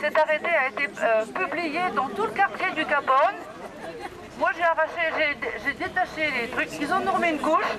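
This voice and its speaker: Crowd noise fills the background as the speaker goes at a moderate pace. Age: 70s. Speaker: protester at a public rally. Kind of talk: public speech at a protest. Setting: outdoors at a town square rally. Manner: halting.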